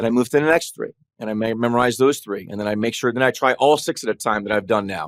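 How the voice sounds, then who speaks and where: Very fast and medium in pitch, a man's voice comes through a dry, close sound with no echo on a very clean recording with a silent background. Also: ordinary pitch variation. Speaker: trial lawyer. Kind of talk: casual chat.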